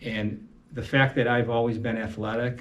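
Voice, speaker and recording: A man's somewhat breathy voice, monotone and flat in intonation, with audible room echo. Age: 60s. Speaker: amateur boxer with Parkinson's. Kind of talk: interview testimony. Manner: halting.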